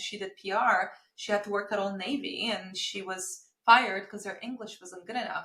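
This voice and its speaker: This is a woman speaking. She has a Romanian accent. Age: 30s. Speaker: marketing agency founder. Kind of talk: podcast interview.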